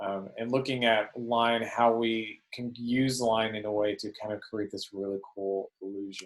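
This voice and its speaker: A man at medium pitch in a monotone, flat intonation, with hardly any pauses. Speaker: art teacher. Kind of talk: lecture. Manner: fast; hesitant, many fillers.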